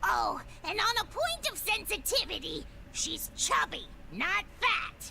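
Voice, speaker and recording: The speaker uses a put-on character voice at a fairly slow pace. There is clear background noise. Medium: video game. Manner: chatty, eager, gossiping.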